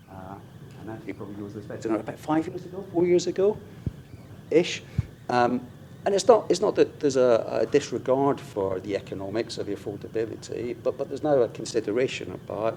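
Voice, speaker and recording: The voice has a dark, mellow tone, a fairly quick pace and lively intonation. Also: man. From UK. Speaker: infrastructure executive. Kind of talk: conference panel discussion.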